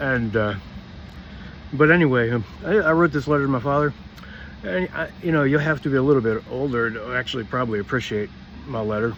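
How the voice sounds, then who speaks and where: Over noticeable background noise, a man talks at a fairly quick pace with ordinary pitch variation, leaving long, frequent pauses. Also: medium pitch for a man. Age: 60s. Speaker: vlogger. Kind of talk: personal monologue. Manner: halting.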